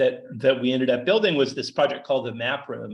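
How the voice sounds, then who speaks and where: The speaker has a Canadian accent. There is vocal fry in the voice. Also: man. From Canada. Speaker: data artist and researcher. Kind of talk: lecture. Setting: seminar room, also streamed on video call. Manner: fast; halting, repeats words.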